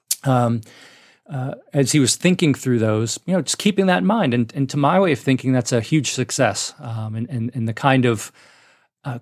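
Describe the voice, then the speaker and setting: The speaker has an American accent, a moderate pace and lively intonation. The recording is very clean, with a silent background and a dry, close sound with no echo. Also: man. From northern New Jersey. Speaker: economics professor. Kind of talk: interview conversation. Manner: halting, frequent repetitions.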